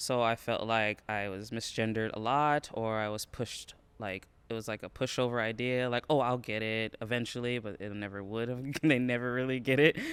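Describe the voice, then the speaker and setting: A man's normal speaking voice, medium in pitch, at a fairly quick pace with fairly even intonation, on a very clean recording with a silent background. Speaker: college student. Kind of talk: interview testimony.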